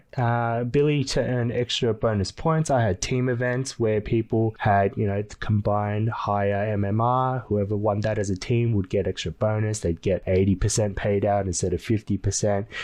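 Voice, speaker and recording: In an Australian accent, a man speaks at a fairly low pitch and moderate pace, with hardly any pauses and fairly even intonation. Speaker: gaming guild owner and YouTuber. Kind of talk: casual tutorial vlog. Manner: casual, filler words.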